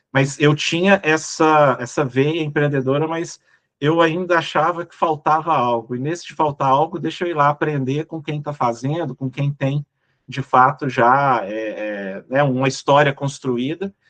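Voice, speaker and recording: A man with a Minas Gerais accent speaks at a fairly slow pace and fairly high pitch, with ordinary pitch variation. His loudness swings a lot, and the sound is dry and close with no echo. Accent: Minas Gerais (mineiro) Brazilian Portuguese. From Brazil, Minas Gerais. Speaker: business executive. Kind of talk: casual interview chat.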